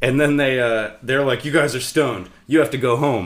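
With an American accent, a man talks in an unremarkable speaking voice with ordinary pitch variation. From Sacramento area, California. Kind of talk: casual chat.

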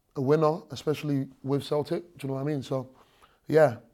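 The voice has a dark, mellow tone and flat, monotone intonation at a moderate pace. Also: man. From London, later raised in southwest Scotland. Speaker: rapper. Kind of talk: casual interview chat. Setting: stadium interview room.

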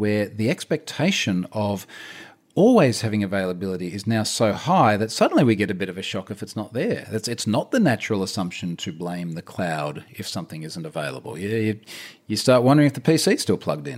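Very fast speech from a man with an Australian accent and a fairly low pitch. The recording is very clean, with a silent background. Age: 40s. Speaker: security researcher. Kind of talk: casual chat.

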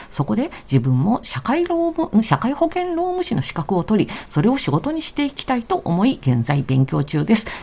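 At a moderate pace with hardly any pauses, the voice comes through noticeable background noise. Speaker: family sociologist and panelist. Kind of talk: radio talk show, reading listener mail aloud. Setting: radio studio, late-night live broadcast.

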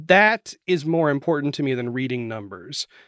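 With an American accent and a normal speaking voice, a man talks at a fairly high pitch with ordinary pitch variation, in a dry, close sound with no echo and a very clean recording with a silent background. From Florida and West Virginia. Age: 40s. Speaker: journalist and podcast host. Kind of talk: interview.

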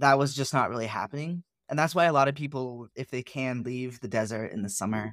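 A man at a fairly quick pace, ordinary pitch variation, dry, close sound with no echo. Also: medium pitch for a man, very clean recording, silent background. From California (Santa Cruz). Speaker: artist. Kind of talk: casual chat. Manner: loud.

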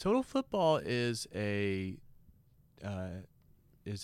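Very slowly, a man speaks with an American accent. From Texas (Beaumont, near Louisiana border). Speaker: rock guitarist. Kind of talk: casual chat.

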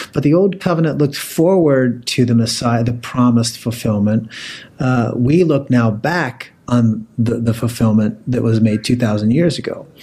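A man with an American accent speaks at a moderate pace and medium pitch, with ordinary pitch variation. His tone is dark and mellow, and somewhat breathy. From Pennsylvania. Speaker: theology professor. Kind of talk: podcast interview.

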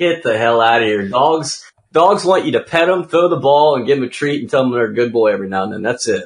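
A man with an American accent talks very fast in a fairly high pitch, his intonation lively. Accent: often mistaken for US Southern. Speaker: pro gamer and ATV freestyler. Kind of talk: casual chat. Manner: animated.

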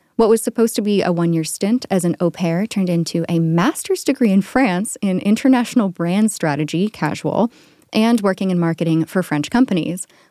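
A woman of medium pitch speaks fairly quickly with hardly any pauses, her dark, mellow tone showing ordinary pitch variation on a very clean recording with a silent background. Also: dry, close sound with no echo. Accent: American. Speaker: podcast host. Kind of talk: casual chat. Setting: studio.

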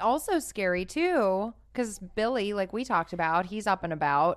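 Over a quiet background, a woman at a medium pitch speaks with lively intonation in an unremarkable speaking voice. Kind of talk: casual chat.

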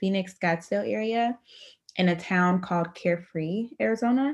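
A woman with an American accent and a plain, everyday voice speaks at a medium pitch and moderate pace, using lively intonation against a quiet background. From US Midwest, Dayton, Ohio. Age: 20s. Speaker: travel company founder and research scientist. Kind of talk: interview conversation.

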